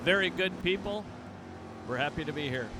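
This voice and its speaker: Amid noticeable background noise and audible room echo, a man with an American accent speaks at a moderate pace with ordinary pitch variation. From Canada, Toronto area. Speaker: guest drag racing announcer. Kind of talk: live commentary. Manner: casual, chatty.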